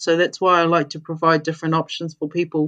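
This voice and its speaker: With a New Zealand accent, a woman talks at a fairly quick pace in a fairly low voice against a quiet background. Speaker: intuitive coach and mentor. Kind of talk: podcast interview.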